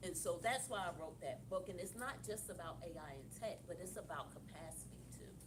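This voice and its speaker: Amid noticeable background noise, a woman with an American accent talks at a fairly quick pace with hardly any pauses. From Philadelphia, US. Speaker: author and leadership coach. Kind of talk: interview at live author event. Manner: loud.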